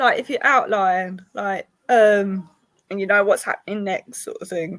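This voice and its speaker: The speaker has a British accent. The intonation stays fairly even. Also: woman, medium pitch for a woman, fairly slow pace, big swings in loudness. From Britain. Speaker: podcast host and publisher. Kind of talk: interview.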